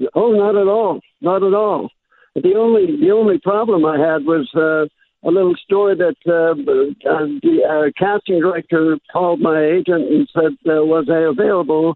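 A man talks fairly slowly at a high pitch with lively intonation. His loudness stays very even. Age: 80s+. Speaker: actor. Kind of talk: interview.

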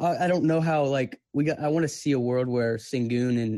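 The sound is dry and close with no echo as a man speaks fairly quickly in a dark, mellow tone with ordinary pitch variation. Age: 20s. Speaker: sports fan caller. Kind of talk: casual chat.

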